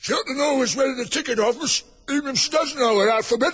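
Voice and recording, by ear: A man does a put-on character voice at a fast pace, extremely high in pitch. The tone is fairly bright with a slightly husky edge. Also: ordinary pitch variation.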